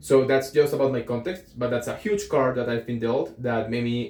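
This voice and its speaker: A man's dark, mellow tone at a moderate pace, with a Colombian accent. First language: Spanish. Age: 20s. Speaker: aspiring entrepreneur vlogger. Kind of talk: casual vlog monologue. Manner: hesitant, with fillers.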